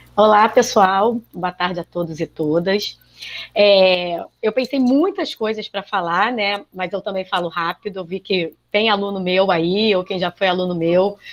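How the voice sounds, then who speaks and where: A woman with a plain, everyday voice speaks fairly slowly at a medium pitch with ordinary pitch variation, the sound dry and close with no echo. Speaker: biology teacher. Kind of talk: panel talk.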